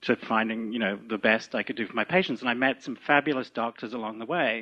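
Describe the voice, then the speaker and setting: Speaking with a British accent, a man uses ordinary pitch variation. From UK. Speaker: physician and movement teacher. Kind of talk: lecture introduction.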